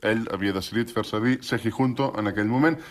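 This man has an ordinary speaking voice, medium in pitch, at a moderate pace. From Catalonia, Salt (Girona area). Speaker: acquaintance telling an anecdote. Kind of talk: personal anecdote.

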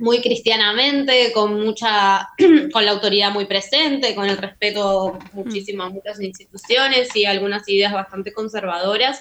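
Ordinary pitch variation in a bright, sharp tone. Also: woman. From Argentina. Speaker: filmmaker. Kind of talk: interview. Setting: remote call.

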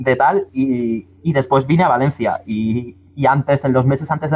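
Medium in pitch, a man speaks with fairly even intonation. His voice is somewhat breathy. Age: 20s. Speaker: musician and record label member. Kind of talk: panel discussion. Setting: remote connection.

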